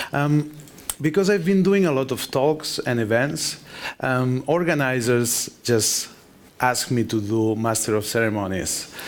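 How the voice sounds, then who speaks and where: In a Spanish accent, the speaker talks at a fairly slow pace with lively intonation over noticeable background noise. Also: man. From Spain. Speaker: conference speaker, software developer. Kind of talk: conference talk.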